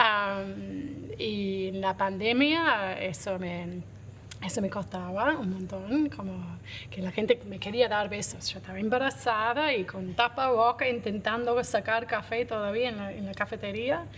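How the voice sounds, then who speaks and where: Loudness swings widely as a woman speaks at a fairly slow pace, her medium pitch showing ordinary variation. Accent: English. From Australia. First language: English (speaking Spanish). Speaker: coffee roaster and business owner. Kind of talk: interview.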